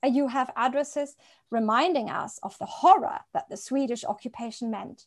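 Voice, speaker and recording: A woman with a high pitch swings very widely in pitch and shifts greatly in loudness. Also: moderate pace, quiet background. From East African highlands, then Europe. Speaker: novelist. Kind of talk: interview.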